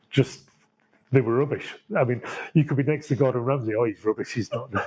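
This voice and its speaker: A man speaks at a fairly quick pace and a medium pitch. His tone is dark and mellow, and somewhat breathy. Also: ordinary pitch variation. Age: 60s. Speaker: chef. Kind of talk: interview.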